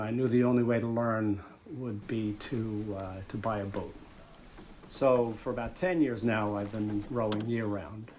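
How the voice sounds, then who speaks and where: With the room's echo clearly audible, a man speaks at a fairly slow pace. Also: medium pitch for a man, fairly even intonation. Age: 60s. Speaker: photographer and restaurateur. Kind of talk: documentary interview. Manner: reflective, with frequent hesitations.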